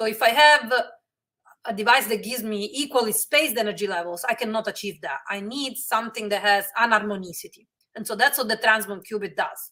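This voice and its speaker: Bright, sharp tone at a fairly quick pace with ordinary pitch variation. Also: woman, fairly high pitch for a woman. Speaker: physicist, research center director. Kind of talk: lecture. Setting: webinar. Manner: fast; halting, many fillers.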